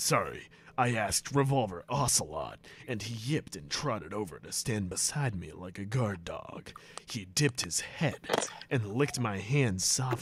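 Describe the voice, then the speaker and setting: Putting on a character voice, a man talks at a moderate pace and medium pitch. His loudness swings widely. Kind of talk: comic impression of a stoic soldier. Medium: game stream. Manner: deadpan, heavy sighing between lines.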